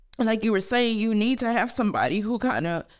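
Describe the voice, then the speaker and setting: A woman in a plain, everyday voice talks at a moderate pace, her pitch fairly high. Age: 30s. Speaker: podcast co-host, homeschooling mother. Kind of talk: casual chat.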